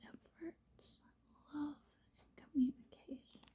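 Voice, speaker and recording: Someone whispers quietly. The pace is very slow. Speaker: tarot reader and hobby vlogger. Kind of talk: tarot reading with read-out card meanings. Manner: whispering, quiet.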